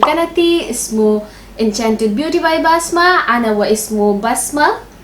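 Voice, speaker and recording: A woman's high voice in a non-native accent, fairly slow with lively intonation, over noticeable background noise. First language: not Arabic (speaking Arabic). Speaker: beauty vlogger. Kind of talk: makeup tutorial. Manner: halting, many fillers.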